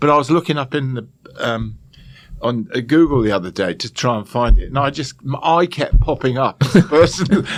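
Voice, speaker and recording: Lively in intonation, the speaker talks with an English accent at a fairly quick pace. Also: man, fairly high pitch for a man. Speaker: chef and TV presenter. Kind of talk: podcast interview answer. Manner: calm, amused.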